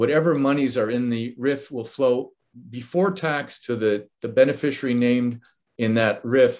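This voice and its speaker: A man with a normal speaking voice talks at a moderate pace in a medium pitch. His pitch varies in an ordinary way, and the background is quiet. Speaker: financial advisor. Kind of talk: webinar presentation.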